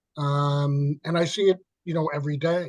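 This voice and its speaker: This man speaks with a New York accent at a fairly high pitch. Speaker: peer specialist. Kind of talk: webinar discussion. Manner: halting.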